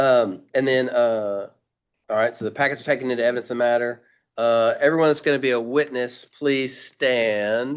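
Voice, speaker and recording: A man with a Southern US accent speaks with medium pitch and fairly even intonation against a quiet background. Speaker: medical board chair presiding over hearing. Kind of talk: formal hearing proceedings. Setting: video call meeting. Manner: halting, many fillers; fast.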